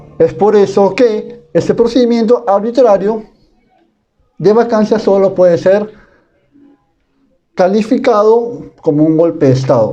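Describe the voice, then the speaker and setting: A man speaks fairly slowly in a high voice with a dark, mellow tone. His loudness stays very even, and he takes long, frequent pauses. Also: ordinary pitch variation. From Peru, Piura. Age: 20s. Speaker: university student. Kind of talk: class presentation. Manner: formal.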